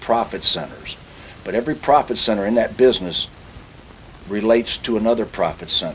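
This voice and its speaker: At a moderate pace, a man speaks with a medium pitch and ordinary pitch variation. Noticeable background noise runs underneath. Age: 60s. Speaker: automobile industry consultant and speaker. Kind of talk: interview.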